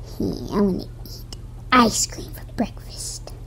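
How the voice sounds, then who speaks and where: A female-sounding voice performs a cartoonish character. The pace is fairly slow. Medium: puppet. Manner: whiny, frustrated.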